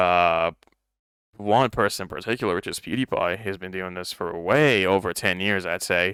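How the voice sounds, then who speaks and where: In a very clean, silent recording with a dry, close sound and no echo, a man with a fairly low pitch and a bright, sharp tone speaks at a moderate pace. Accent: non-native. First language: not English. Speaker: podcast co-host. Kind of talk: casual chat.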